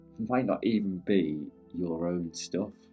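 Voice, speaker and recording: A man with a British accent speaks in a calm tone with a very deep, low voice and fairly even intonation, with music in the background. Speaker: meditation guide. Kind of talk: guided meditation. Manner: calm, unscripted.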